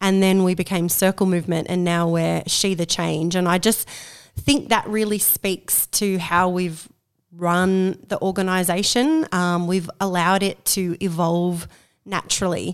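In a very clean recording with a silent background, a woman with an Australian accent speaks fairly slowly at a medium pitch with fairly even intonation. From Australia, Central Coast of New South Wales. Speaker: community organiser for women. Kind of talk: casual interview. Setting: at a kitchen table at home.

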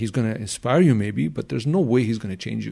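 A man's dark, mellow voice at a medium pitch with a Glaswegian accent, very fast and with lively intonation, on a very clean recording with a silent background. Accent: Glaswegian Scottish. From Scotland, Glasgow. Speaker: self-development coach and NLP practitioner. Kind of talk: casual interview chat.

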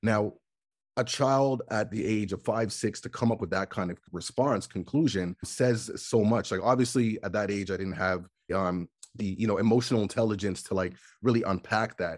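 A man with a Canadian accent and an unremarkable speaking voice, at a moderate pace with ordinary pitch variation, in a very clean recording with a silent background. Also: fairly low pitch for a man. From Canada. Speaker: nonprofit founder and hip hop artist. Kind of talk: interview conversation.

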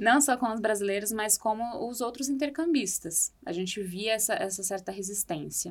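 In an unremarkable speaking voice, a woman talks at a fairly slow pace with a fairly high pitch. The recording is very clean, the background silent. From Brazil. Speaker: architect and former exchange student. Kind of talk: podcast interview.

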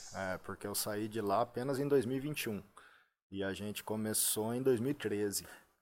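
With a normal speaking voice, a man talks at a fairly slow pace and a fairly low pitch in a very clean recording with a silent background. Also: fairly even intonation. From Brazil, Limeira (São Paulo state). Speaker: personal trainer. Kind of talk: podcast interview. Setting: studio.

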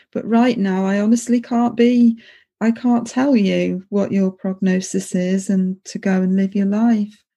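At a fairly slow pace, a woman with a medium pitch and a dark, mellow, somewhat breathy tone speaks with fairly even intonation. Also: very clean recording, silent background. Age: 50s. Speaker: podcast host, former palliative care nurse. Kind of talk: interview.

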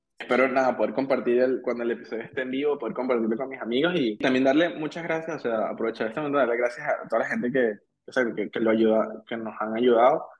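In a Venezuelan accent, a man talks at a very fast pace with hardly any pauses. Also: medium pitch for a man, ordinary pitch variation. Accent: Venezuelan, drops final s. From Venezuela, Caracas. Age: 30s. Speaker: engineer. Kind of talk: casual interview chat. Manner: halting, many repetitions.

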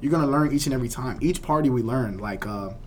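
Audible room echo surrounds a man with an American accent who talks at a very fast pace. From Miami, Florida. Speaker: party promoter and university student. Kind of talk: casual interview chat.

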